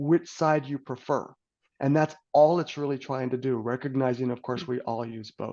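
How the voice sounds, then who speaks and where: A man talks at a fairly quick pace, pitched fairly high. He has a normal speaking voice. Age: 60s. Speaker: personality assessment consultant. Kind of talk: podcast interview.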